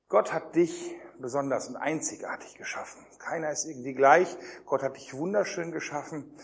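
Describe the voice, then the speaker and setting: Against noticeable background noise, a fairly high-pitched man talks at a moderate pace with big swings in loudness. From Germany. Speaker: youth pastor / preacher. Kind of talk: sermon. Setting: youth camp with live audience. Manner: animated.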